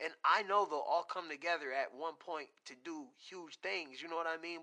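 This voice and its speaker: The man's voice is high-pitched with a bright, sharp tone. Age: 30s. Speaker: podcast host. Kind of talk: casual interview. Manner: animated.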